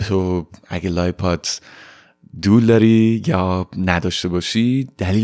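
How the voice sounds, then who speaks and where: A man speaks at a fairly low pitch. The recording is very clean, with a silent background. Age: 20s. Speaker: podcast host. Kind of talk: personal storytelling monologue. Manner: casual, mixing Persian and English.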